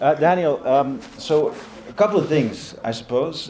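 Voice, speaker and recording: Over noticeable background noise and audible room echo, a man speaks at a fairly slow pace. His voice is fairly high, with lively intonation. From Europe. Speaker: panel moderator, journalist. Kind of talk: panel moderation.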